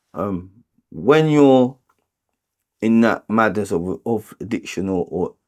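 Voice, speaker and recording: This voice has a North London accent and lively intonation. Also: man. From London (Tottenham, North London). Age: 40s. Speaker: homeless support worker and boxing coach in recovery. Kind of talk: interview testimony. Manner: hesitant, many fillers and repetitions.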